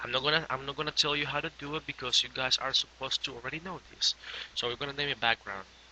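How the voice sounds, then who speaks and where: Talking at a very fast pace, a man with a non-native accent uses a fairly high pitch. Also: fairly even intonation. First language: not English. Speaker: graphic design tutorial maker. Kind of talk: software tutorial. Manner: casual, hesitant with fillers.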